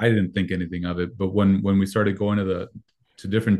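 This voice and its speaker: Speaking at a fairly quick pace, a man with a Spanish accent has a fairly low pitch and fairly even intonation. Behind him, the background is quiet. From Mexico. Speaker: youth pastor. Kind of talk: interview.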